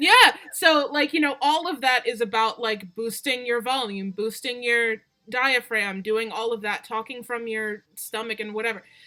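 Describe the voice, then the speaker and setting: Speaking at a moderate pace with hardly any pauses, a woman uses a fairly high pitch and ordinary pitch variation. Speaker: streamer. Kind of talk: casual chat. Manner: loud.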